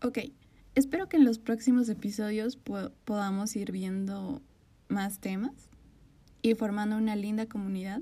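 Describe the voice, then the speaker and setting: The voice is somewhat breathy, with a dark, mellow tone. It moves at a fairly slow pace, broken by long, frequent pauses. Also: woman, fairly high pitch for a woman, ordinary pitch variation. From Bolivia. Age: 20s. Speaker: podcast host. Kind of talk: podcast intro monologue.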